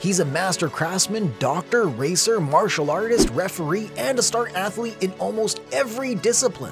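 Over background music, a man with a high pitch talks at a fairly quick pace with very wide pitch swings. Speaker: voice actor. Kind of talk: character explainer narration.

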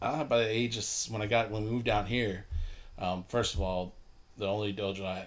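The intonation here is fairly even. It is an unremarkable speaking voice going at a fairly quick pace. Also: man. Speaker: podcast guest. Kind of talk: interview answer. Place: home room. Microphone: studio mic.

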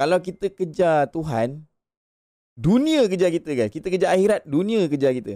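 A man speaks at a moderate pace. His tone is animated. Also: quiet background. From Malaysia. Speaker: gaming livestreamer. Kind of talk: casual livestream chat. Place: home room. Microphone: studio mic.

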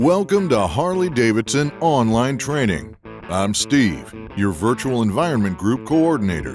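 Over music in the background, a man with a medium-pitched voice speaks fairly slowly in a confident tone, barely pausing, his pitch swinging very widely. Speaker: voice actor. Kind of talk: e-learning narration. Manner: friendly, professional; confident, communicative.

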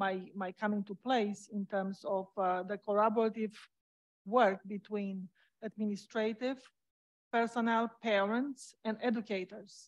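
Against a quiet background, a woman speaks in a monotone, flat intonation. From Romania. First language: Romanian. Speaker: school board candidate, parent; candidate. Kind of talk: candidate forum speech. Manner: halting. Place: stage.

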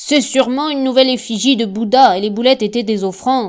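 A woman speaks at a high pitch with a warm tone. Her pace is moderate. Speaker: audiobook narrator.

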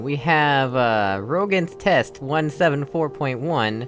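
With music in the background, a man with a fairly high pitch speaks at a fairly slow pace. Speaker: let's play gamer. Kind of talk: casual gameplay commentary.

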